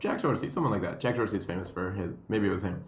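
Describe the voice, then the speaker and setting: With audible room echo, a man talks at a very fast pace in a somewhat breathy voice. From Puerto Rico. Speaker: comedian and educator. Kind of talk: casual chat.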